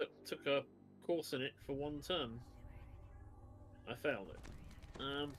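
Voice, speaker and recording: A man with an English accent at a very slow pace, fairly high pitch and fairly even intonation, with long, frequent pauses. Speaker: online gamer. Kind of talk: casual chat. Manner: halting.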